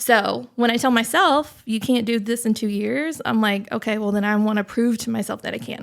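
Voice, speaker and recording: The speaker has a Southern US accent and talks at a moderate pace with hardly any pauses and ordinary pitch variation. The recording is very clean with a silent background. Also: woman, fairly high pitch for a woman. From US South. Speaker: business executive. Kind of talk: podcast interview. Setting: podcast recording.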